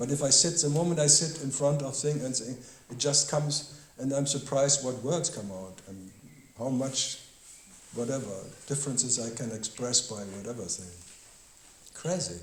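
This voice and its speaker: With a German accent, a man of medium pitch talks at a moderate pace with ordinary pitch variation, big swings in loudness, and long, frequent pauses, amid noticeable background noise and audible room echo. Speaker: spiritual teacher. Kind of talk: question-and-answer dialogue. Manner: halting.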